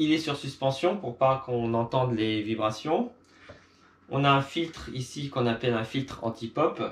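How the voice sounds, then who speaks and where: A man with a medium-pitched voice shows ordinary pitch variation as he talks at a moderate speed. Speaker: video creator. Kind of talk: tutorial.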